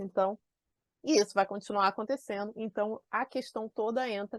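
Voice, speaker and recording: A woman speaks in an animated tone at a moderate pace, and the sound is dry and close with no echo. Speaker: productivity and organization coach. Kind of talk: online class.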